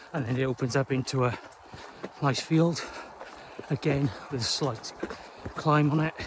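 A man talks with fairly even intonation. The sound is dry with no echo, and background noise is noticeable. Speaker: trail runner vlogger. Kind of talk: casual vlog chat. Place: open country. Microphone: phone near.

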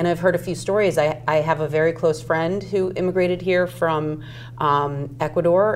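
A woman with a very deep, low pitch speaks at a fairly slow pace with ordinary pitch variation. Light background noise is present. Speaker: constable candidate and designer; candidate. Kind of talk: interview answer. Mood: earnest, moved. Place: studio. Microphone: lapel.

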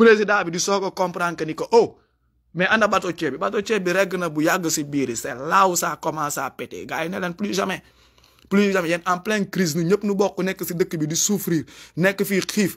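A man speaks at a high pitch with ordinary pitch variation. His pace is moderate and the background is quiet. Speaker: YouTube commentator. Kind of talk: live monologue. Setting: livestream. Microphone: phone near.

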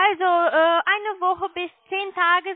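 A woman with an extremely high pitch speaks with fairly even intonation, and the sound is dry and close with no echo.

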